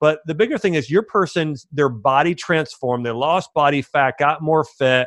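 With a plain, everyday voice, a man talks at a moderate pace with hardly any pauses, using a fairly high pitch and ordinary pitch variation. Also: quiet background. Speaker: health doctor and podcast host. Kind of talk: casual interview. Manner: casual, filler-heavy.

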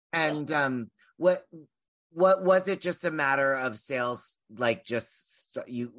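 Lively intonation marks this man's speech. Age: 40s. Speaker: podcast host. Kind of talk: interview. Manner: halting.

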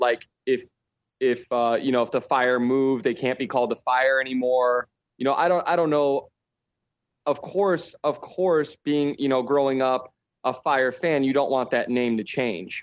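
This man has an ordinary speaking voice of medium pitch with an American accent, ordinary pitch variation, very even loudness and a moderate pace against a quiet background. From Chicago. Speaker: professional soccer player. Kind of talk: casual chat. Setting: remote call.

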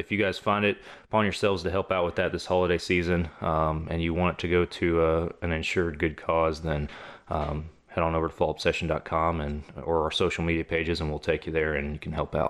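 A man with a Texan accent has a very deep, low voice. He talks at a fairly quick pace in a monotone, flat way. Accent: Texan (US Southern). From Texas. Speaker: hunting podcast host. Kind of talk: casual chat.

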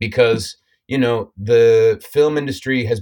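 A man with an American accent talks at a moderate pace in a plain, everyday voice, with ordinary pitch variation and a dry, close sound with no echo. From United States. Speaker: actor. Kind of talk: casual interview.

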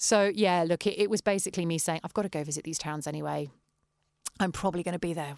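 A woman with an English accent, a fairly low pitch and ordinary pitch variation, at a very fast pace. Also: very clean recording, silent background. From West Country, England. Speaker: orchestra founder and violist. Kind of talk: interview.

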